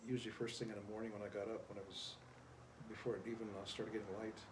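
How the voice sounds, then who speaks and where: Audible room echo surrounds a voice with an American accent. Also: man. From US Great Plains, Pine Ridge Reservation, South Dakota. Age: 70s. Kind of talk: interview. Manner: halting, many fillers.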